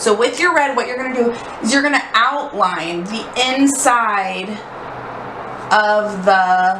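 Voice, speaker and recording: With audible room echo and noticeable background noise, a woman at a fairly high pitch speaks at a very slow pace, with lively intonation and long, frequent pauses. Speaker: art instructor. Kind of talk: tutorial.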